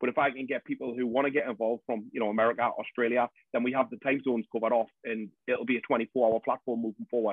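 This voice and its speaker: The speaker has a North East England accent and monotone, flat intonation. The pace is very fast, with hardly any pauses. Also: man, medium pitch for a man. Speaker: support group founder. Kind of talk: podcast interview answer.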